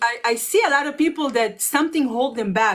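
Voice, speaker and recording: Speaking with a non-native accent, a woman uses a high pitch, ordinary pitch variation and a moderate pace. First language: not English. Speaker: online business coach. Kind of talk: casual chat. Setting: livestream.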